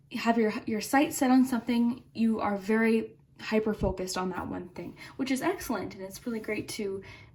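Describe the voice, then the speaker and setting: This woman has an ordinary speaking voice, fairly high-pitched with ordinary pitch variation, and she talks at a fairly quick pace. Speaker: tarot reader. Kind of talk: tarot reading for online audience. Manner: calm, gentle, conversational.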